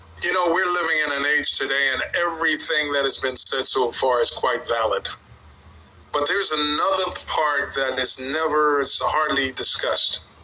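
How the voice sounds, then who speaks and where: Over noticeable background noise, a man talks at a moderate pace with very even loudness. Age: 70s. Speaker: community elder. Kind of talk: group discussion.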